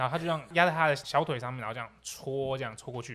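Someone talks at a very fast pace in an animated tone. The tone is also bright and sharp. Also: man. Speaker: podcast co-host. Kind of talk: casual chat.

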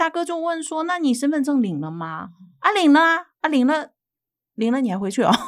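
The recording is very clean with a silent background. The speaker keeps a moderate pace with very wide pitch swings. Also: woman. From Shandong, northern China. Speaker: YouTuber, immigrant housewife. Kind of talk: interview.

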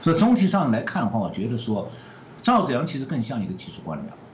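A man speaks with very wide pitch swings. Noticeable background noise and audible room echo surround him. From mainland China. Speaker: economist. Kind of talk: interview.

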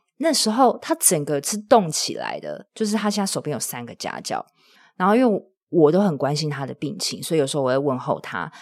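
A woman speaks at medium pitch with very wide pitch swings and big swings in loudness. The recording is very clean, with a silent background. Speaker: podcaster and side-business coach. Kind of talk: casual interview. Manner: calm, steadying delivery.

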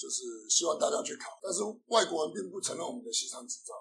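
A man speaks at a fairly quick pace. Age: 40s. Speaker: Italian restaurant owner and chef. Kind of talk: casual interview. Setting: in his restaurant.

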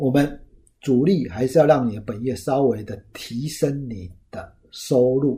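A man with a dark, mellow tone and a medium pitch sounds somewhat breathy, his loudness swinging widely. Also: ordinary pitch variation, fairly slow pace. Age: 50s. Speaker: finance podcast host, former lecturer. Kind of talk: solo talk, book review. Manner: casual with many filler particles.

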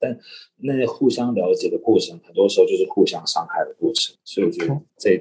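A man's fairly quick speech with big swings in loudness. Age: 30s. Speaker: stage actor. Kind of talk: casual chat.

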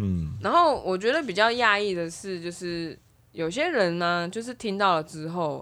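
In an ordinary speaking voice, a woman at medium pitch talks fairly slowly with lively intonation. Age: 30s. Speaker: podcast co-host. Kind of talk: casual chat.

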